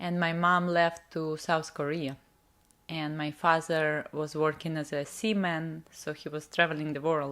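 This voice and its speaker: In a Russian accent, a woman speaks at a fairly slow pace with a fairly low pitch and fairly even intonation. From Russian Far East. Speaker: spiritual coach. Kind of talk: interview.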